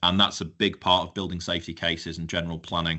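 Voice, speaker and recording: A man with a Yorkshire accent talks at a very fast pace. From northern England, North Yorkshire. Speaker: fire engineer. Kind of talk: webinar presentation. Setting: live-streamed webinar. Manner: conversational, with fillers.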